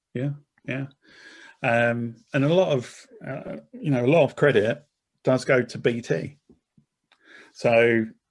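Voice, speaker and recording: A man is speaking. He has an Essex accent. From Essex, England. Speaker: corporate marketing director. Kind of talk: interview conversation. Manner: repetitive false starts.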